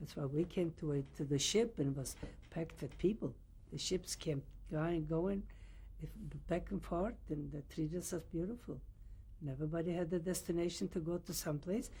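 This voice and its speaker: A woman speaks at a moderate pace in a fairly low, dark, mellow voice. It is somewhat breathy, with ordinary pitch variation. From Poland. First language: Yiddish or Polish. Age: 80s+. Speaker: Holocaust survivor. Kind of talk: oral history interview. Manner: halting.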